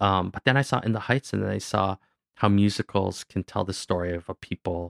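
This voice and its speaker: With a normal speaking voice, a man talks at a fairly low pitch and fairly even intonation, in a dry, close sound with no echo on a very clean recording with a silent background. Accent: Canadian. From Canada. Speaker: actor, director and musician. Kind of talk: interview. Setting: studio.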